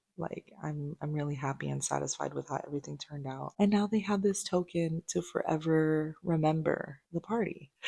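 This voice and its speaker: A woman speaks at a moderate pace in a very deep, low pitch with ordinary pitch variation and a dark, mellow tone. She leaves hardly any pauses, and the sound is dry and close with no echo. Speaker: vlogger and crafter. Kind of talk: casual vlog talk. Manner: quiet, talking low.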